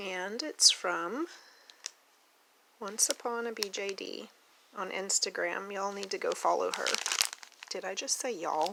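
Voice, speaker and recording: The speech moves at a fairly slow pace with long, frequent pauses. Noticeable background noise runs throughout. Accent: American. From Oklahoma. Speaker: doll collector YouTuber. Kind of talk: casual unboxing vlog. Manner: animated, excited exclamations.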